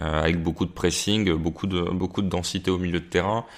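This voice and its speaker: A man talks in a very deep, low pitch at a fairly quick pace. His intonation stays fairly even. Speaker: football pundit. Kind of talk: casual chat. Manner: halting, many fillers.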